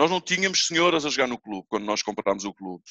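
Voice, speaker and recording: A man talks at a fairly quick pace with a bright, sharp tone. The sound is dry and close, with no echo. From Portugal, Almada (Feijó). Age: 40s. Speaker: padel club owner. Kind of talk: casual chat.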